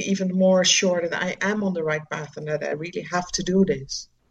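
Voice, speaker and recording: A woman speaks in a somewhat breathy voice with a Dutch accent. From Netherlands. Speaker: charity founder working with children. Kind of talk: interview. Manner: hesitant, many fillers.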